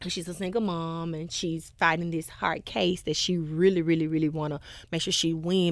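Recorded very cleanly against a silent background, a woman with a Memphis accent speaks at a fairly low pitch. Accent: US Southern, Memphis. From Memphis, Tennessee (Whitehaven). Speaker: gospel singer. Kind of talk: casual interview.

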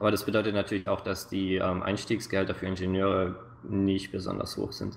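The speaker is a man. His voice sits fairly low in pitch. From Swabia, southern Germany (near Stuttgart). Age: 20s. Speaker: game producer. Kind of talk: interview.

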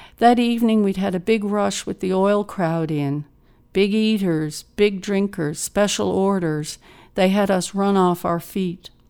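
In a Newfoundland accent, a woman speaks at medium pitch and a fairly slow pace, with a dark, mellow, dramatic tone. Her intonation stays fairly even on a very clean recording with a silent background. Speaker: poet reading her own work. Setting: studio. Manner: measured, expressive, dramatic pauses for vivid imagery.

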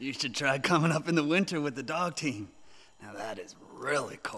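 This is a put-on character voice with a raspy sound. It moves at a moderate pace. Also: man, fairly high pitch for a man. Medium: audio drama. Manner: folksy, polite, says ma'am.

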